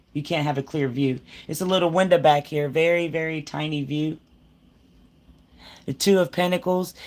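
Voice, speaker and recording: At a moderate pace, the speaker leaves long, frequent pauses in a very clean recording with a silent background. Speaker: tarot reader. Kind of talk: tarot reading. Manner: halting, self-correcting.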